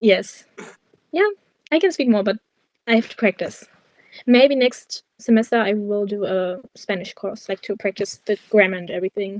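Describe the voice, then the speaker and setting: Speaking with a German accent, a woman uses ordinary pitch variation and leaves long, frequent pauses. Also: medium pitch for a woman, moderate pace. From Germany, Cologne. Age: 20s. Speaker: university student. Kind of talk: interview.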